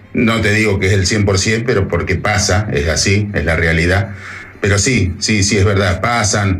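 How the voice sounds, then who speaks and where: A man speaks at a fairly low pitch and fairly slow pace, with fairly even intonation and very even loudness. Noticeable background noise and audible room echo are present. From Argentina. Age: 50s. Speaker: truck driver. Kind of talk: casual interview, storytelling anecdotes.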